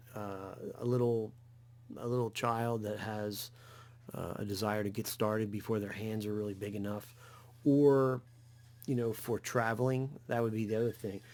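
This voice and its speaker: Moderate pace from a man with a New Jersey accent, fairly low pitch, fairly even intonation and long, frequent pauses. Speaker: guitar YouTuber. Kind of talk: tutorial. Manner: halting, many fillers.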